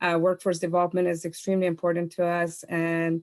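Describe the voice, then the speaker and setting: A woman talks at a fairly quick pace in a fairly low pitch. The recording is very clean, with a silent background. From outside US, came as international student. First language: not English (English is third language). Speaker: chamber of commerce executive. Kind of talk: panel discussion question.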